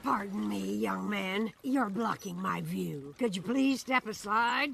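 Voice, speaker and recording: At a fairly slow pace, a cartoonish character voice speaks at a middle pitch. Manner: prim, polite.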